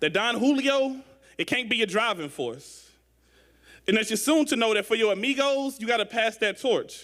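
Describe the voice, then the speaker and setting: Speaking at a moderate pace, a man with a St. Louis accent has a high pitch and a bright, sharp tone. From St. Louis, Missouri. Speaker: spoken word poet. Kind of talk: poetry performance.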